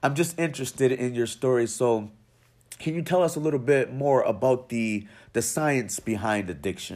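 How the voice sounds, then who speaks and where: With an unremarkable speaking voice, a man of medium pitch talks at a moderate pace with ordinary pitch variation in a very clean recording with a silent background. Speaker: podcast host. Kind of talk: interview.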